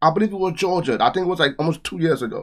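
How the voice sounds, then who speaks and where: A man with a Trinidadian accent and a high voice speaks at a fairly quick pace in an animated tone, on a very clean recording with a silent background. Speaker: reaction youtuber. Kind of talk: reaction commentary.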